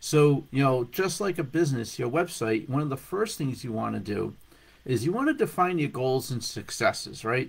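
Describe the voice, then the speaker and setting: A somewhat breathy man talks at a fairly quick pace with lively intonation. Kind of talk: business tip vlog. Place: home room. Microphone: webcam.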